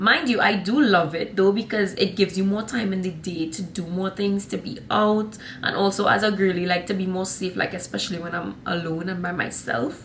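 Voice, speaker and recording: Against noticeable background noise, a woman with a medium pitch speaks at a fairly quick pace in an animated tone with ordinary pitch variation. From Trinidad and Tobago. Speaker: vlogger. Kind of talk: casual vlog talk.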